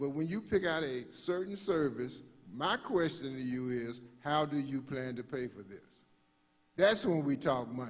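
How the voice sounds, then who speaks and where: An unremarkable speaking voice from a man, fairly high in pitch, with lively intonation and a moderate pace. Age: 60s. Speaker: funeral director. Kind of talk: workshop presentation. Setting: live-streamed church workshop.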